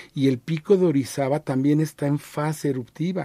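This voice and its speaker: Somewhat breathy and fairly high-pitched, a man speaks at a fairly quick pace. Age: 60s. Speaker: archaeologist. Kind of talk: radio interview.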